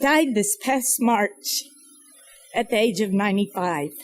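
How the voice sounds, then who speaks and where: Music plays in the background. A woman speaks with an American accent and ordinary pitch variation. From US South, North Carolina mountains. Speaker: nonprofit founder and speaker. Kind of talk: speech. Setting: fundraising breakfast event. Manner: reflective, measured.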